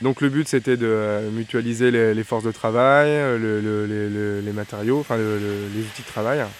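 Fairly slow in pace, the speaker has a plain, everyday voice. The intonation stays fairly even. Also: man, medium pitch for a man. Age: 20s. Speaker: carpenter. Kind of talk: documentary interview.

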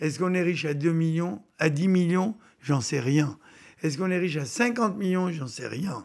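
Talking at a moderate pace, a man with a high voice uses lively intonation. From Tunisia (pied-noir). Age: 70s. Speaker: business founder. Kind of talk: interview.

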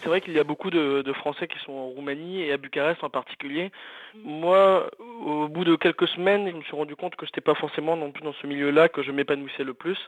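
A plain, everyday voice from a man, fairly high in pitch and fairly even in intonation, with big swings in loudness. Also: fairly quick pace. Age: 20s. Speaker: journalist. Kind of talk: casual testimony.

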